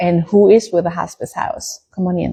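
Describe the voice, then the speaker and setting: A woman with a German accent speaks at a moderate pace in a somewhat breathy voice. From Germany. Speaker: small farm business owner. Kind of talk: casual live stream talk.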